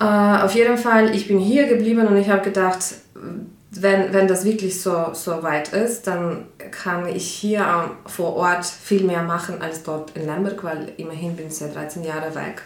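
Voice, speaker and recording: Against noticeable background noise and audible room echo, a woman speaks in a Ukrainian accent at a fairly slow pace. Her pitch is fairly low, with ordinary variation. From Ukraine. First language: Ukrainian (speaking German). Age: 30s. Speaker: pianist and refugee aid organizer. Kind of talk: interview. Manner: hesitant, with fillers.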